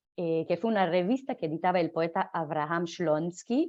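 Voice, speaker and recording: A woman talks at a fairly slow pace with a Hebrew accent. Her voice sits fairly low and has ordinary pitch variation. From Israel (Jerusalem). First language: Hebrew (speaking Spanish). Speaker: literature lecturer. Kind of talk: lecture. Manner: halting, many fillers and self-corrections.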